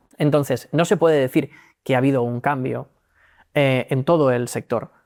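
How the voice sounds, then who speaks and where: On a very clean recording with a silent background and a dry, close sound with no echo, a man speaks at a fairly high pitch with ordinary pitch variation. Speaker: legal tech executive. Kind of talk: interview. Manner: fast.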